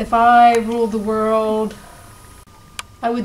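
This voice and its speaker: With audible room echo and noticeable background noise, a woman speaks at a very slow pace in a fairly high pitch. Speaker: cast member. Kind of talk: confessional interview.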